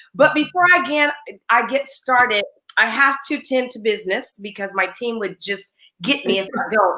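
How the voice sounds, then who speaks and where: A woman speaks in a raised, projected voice with a high pitch. Her tone is bright, sharp and animated. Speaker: live show host and business coach. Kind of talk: live online talk show. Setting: live video stream. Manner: loud.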